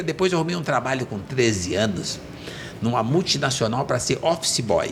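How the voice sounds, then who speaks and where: A man's medium-pitched voice with very wide pitch swings at a moderate pace, over noticeable background noise. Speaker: entrepreneur. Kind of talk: podcast interview, life story. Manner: animated.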